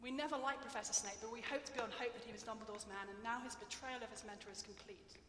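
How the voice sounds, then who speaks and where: A woman with an English accent talks very fast at a high pitch with hardly any pauses, ordinary pitch variation, and big swings in loudness. Noticeable background noise is present. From England. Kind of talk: lecture; audience Q&A. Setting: stage with audience.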